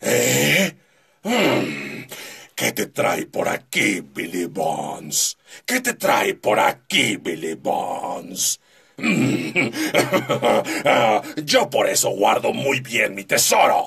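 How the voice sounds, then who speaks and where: A man does a raspy, put-on character voice at a very slow pace. He leaves long, frequent pauses. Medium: tutorial demo. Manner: shouting, aggressive.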